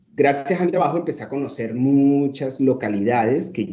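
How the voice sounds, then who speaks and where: A man speaks with a Cúcuta accent and lively intonation. The room echo is audible. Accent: Cúcuta Colombian. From Colombia, Cúcuta (born Caracas, Venezuela). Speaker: social psychologist, lecturer. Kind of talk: lecture. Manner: hesitant, many fillers.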